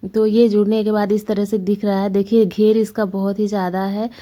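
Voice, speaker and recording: Dark, mellow tone in monotone, flat intonation at a moderate pace, on a very clean recording with a silent background. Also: woman. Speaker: family vlogger, housewife doing tailoring. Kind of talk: tutorial vlog voice-over. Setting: home, late-night voice-over. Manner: casual, conversational.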